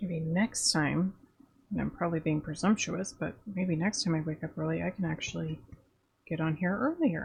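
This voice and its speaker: A woman speaks at a moderate pace in a fairly low pitch, somewhat breathy. Her pitch varies in an ordinary way. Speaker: artist streamer. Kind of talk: casual chat. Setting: live stream.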